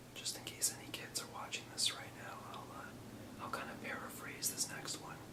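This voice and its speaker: A man whispering at a moderate pace amid noticeable background noise. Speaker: ASMR whisperer. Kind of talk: ASMR whisper history lesson. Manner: whispered, soft-spoken.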